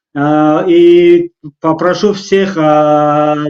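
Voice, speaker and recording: A man with a non-native accent speaks at a high pitch. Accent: non-native Russian. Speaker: talk show host. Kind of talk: live talk show interview. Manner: halting, many fillers.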